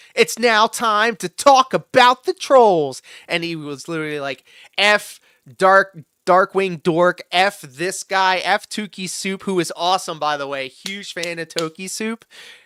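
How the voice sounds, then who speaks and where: A man speaks at a high pitch with a bright, sharp tone and an animated delivery, his pitch varying in an ordinary way. The pace is fairly slow, loudness swings widely, and the very clean recording has a silent background and a dry, close sound with no echo. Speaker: livestream reaction host. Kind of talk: casual livestream commentary. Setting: livestream.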